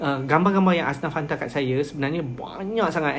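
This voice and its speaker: This is an unremarkable speaking voice, and its pitch varies in an ordinary way. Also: man. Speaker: NGO volunteer leader. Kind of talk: live stream talk. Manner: code-switching Malay and English.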